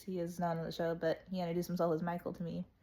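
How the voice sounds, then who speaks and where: A woman's fairly low voice has a dark, mellow tone and monotone, flat intonation. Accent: American. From United States. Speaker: travel vlogger. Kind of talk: casual story time. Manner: casual, chatty with self-corrections.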